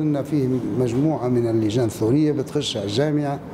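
A man with ordinary pitch variation amid noticeable background noise. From Libya. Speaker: former political prisoner. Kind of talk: interview answer. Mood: somber, reflective recollection. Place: hall.

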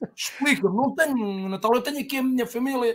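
This man's voice sits at an extremely high pitch. His intonation is lively. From Portugal. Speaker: football fan; guest. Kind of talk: casual chat. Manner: animated. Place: home room.

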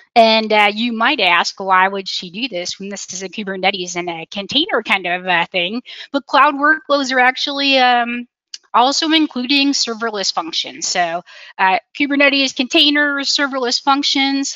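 At a moderate pace, a woman speaks with a high pitch, the sound dry with no echo over a quiet background. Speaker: presenter. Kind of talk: conference presentation. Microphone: video call.

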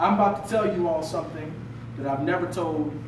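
Over noticeable background noise and audible room echo, a man speaks at a high pitch and a fairly quick pace with lively intonation. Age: 20s. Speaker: motivational speaker. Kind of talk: motivational talk to an audience. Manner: animated. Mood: earnest, confessional. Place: meeting room. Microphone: camera far.

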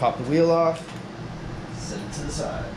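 Clear background noise is present in the recording. The talking proceeds at a medium tempo. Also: man. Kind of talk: tutorial. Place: garage. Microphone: camera far.

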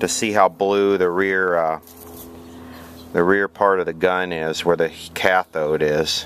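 Recorded dry with no echo and light background noise, a man speaks at a fairly slow pace with a fairly low pitch. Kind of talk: tutorial. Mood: calm, matter-of-fact. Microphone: phone near.

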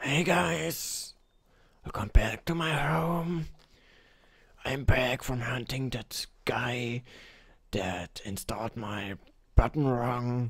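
In a put-on character voice of medium pitch, a man speaks very slowly with long, frequent pauses. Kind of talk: comic overacting. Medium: machinima.

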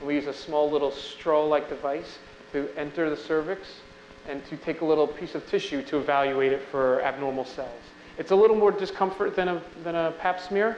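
Speaking fairly quickly with an American accent, a man has a fairly high pitch and ordinary pitch variation. Light background noise and audible room echo come through. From Long Island, New York; New York. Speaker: physician; physician lecturer. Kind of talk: lecture. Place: hall. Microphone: podium.

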